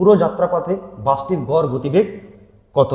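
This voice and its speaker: Lively intonation colors the speech of a man with a high voice. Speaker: maths teacher. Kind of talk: online lecture.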